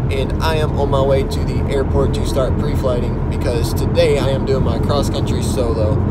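A man talks with hardly any pauses, the sound dry and free of echo. Loud noise fills the background. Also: moderate pace. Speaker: student pilot vlogger. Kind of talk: casual vlog chat. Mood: calm, upbeat. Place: car. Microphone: phone near.

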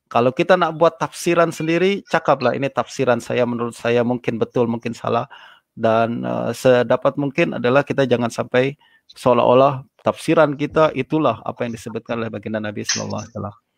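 Against a quiet background, a man of medium pitch talks at a very fast pace. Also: ordinary pitch variation, dry sound with no echo. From Indonesia. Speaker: Islamic scholar and lecturer; lecturer. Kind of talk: religious lecture. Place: home room. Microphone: video call.

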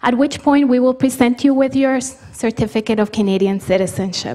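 Against a quiet background, a woman talks at a high pitch and a moderate pace. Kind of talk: formal instructions to an audience. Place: hall. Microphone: podium.

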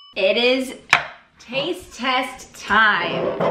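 A woman is speaking. There is audible room echo and light background noise. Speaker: food vlogger. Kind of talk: casual vlog chat. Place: kitchen. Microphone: camera far.

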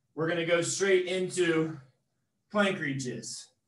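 With audible room echo, a man speaks at a fairly slow pace in a high voice. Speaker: fitness trainer. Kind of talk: workout instruction. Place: gym. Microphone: camera far.

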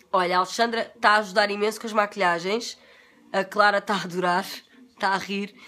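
A woman with a European Portuguese accent, medium pitch, animated tone, and a fairly quick pace. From Portugal. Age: 40s. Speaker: beauty vlogger. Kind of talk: casual livestream chat. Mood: relaxed, confiding, sometimes laughing. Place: home room. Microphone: phone near.

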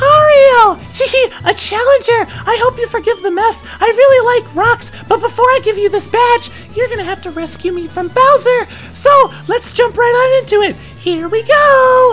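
A put-on character voice, female-sounding and extremely high in pitch, with clear music in the background. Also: moderate pace. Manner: sweet, cheerful, bubbly.

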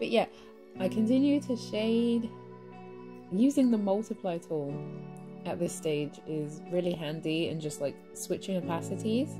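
A woman speaks with long, frequent pauses. Music plays in the background. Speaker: digital artist. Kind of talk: speedpaint tutorial voiceover. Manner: casual, chatty.

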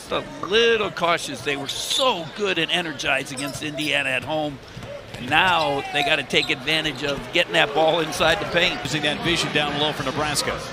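Ordinary pitch variation at a moderate pace, with noticeable background noise behind. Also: man, fairly high pitch for a man. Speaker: color commentator. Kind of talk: live sports commentary. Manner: analytical, conversational, steady pace.

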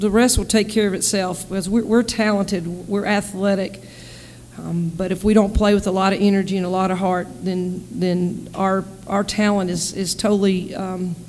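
At a moderate pace, a woman speaks with monotone, flat intonation over light background noise. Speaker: basketball head coach. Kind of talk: interview answer. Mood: calm, measured after a win. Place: meeting room. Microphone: podium.

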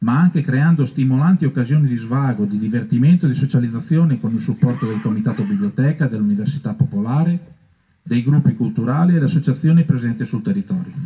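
Against a quiet background, a man talks at a fairly quick pace with lively intonation and a somewhat breathy voice. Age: 50s. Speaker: council candidate, outgoing councillor. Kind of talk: reading a prepared programme. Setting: outdoors in a park. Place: garden. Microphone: camera far.

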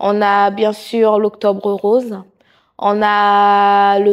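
Quiet surroundings behind a woman's voice. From Haitian heritage. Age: 30s. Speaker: nursing assistant and charity president. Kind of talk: interview monologue. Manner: hesitant with many fillers. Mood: warm, sincere. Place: studio. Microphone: lapel.

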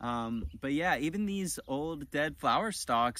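Recorded dry with no echo, a man talks fairly slowly with ordinary pitch variation. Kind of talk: casual tutorial. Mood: warm, amused. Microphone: phone near.

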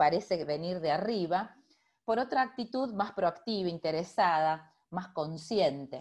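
Against a quiet background, a woman talks at a fairly slow pace with a medium pitch and ordinary pitch variation. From Argentina, Rosario; Argentina. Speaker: physician and public health professor; university professor presenting. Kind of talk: lecture. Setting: video call. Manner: hesitant, with many fillers. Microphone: video call.

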